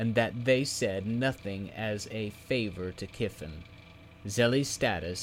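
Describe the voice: The clip is plain reading aloud, and its pitch varies in an ordinary way.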